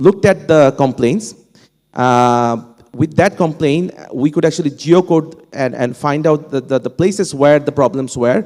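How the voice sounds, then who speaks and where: A man with a fairly high pitch and a Bengali accent speaks at a fairly slow pace in a dark, mellow tone. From Bangladesh. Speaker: professor, panel speaker. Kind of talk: panel discussion. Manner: halting, many fillers and restarts.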